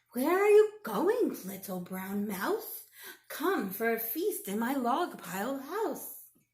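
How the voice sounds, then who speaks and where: Putting on a character voice, a woman speaks high-pitched and fairly slowly, her pitch swinging very widely. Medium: read story.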